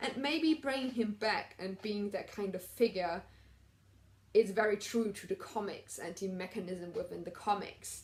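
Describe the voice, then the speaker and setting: At a moderate pace, a woman talks in a somewhat breathy, medium-pitched voice with ordinary pitch variation. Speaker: TV recap vlogger. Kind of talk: casual review monologue.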